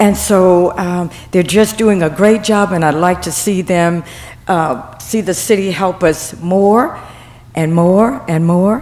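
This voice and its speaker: A woman at a medium pitch, speaking at a very slow pace with ordinary pitch variation, with noticeable background noise and audible room echo. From Mobile, Alabama. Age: 70s. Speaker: senior center member. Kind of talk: public comment at council meeting. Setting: city council meeting.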